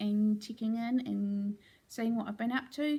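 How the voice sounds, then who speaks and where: In a New Zealand accent, a woman speaks at a moderate pace with a fairly high pitch, a dark, mellow tone and a somewhat breathy quality. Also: very clean recording, silent background. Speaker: crafting vlogger. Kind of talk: casual vlog update. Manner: casual with fillers.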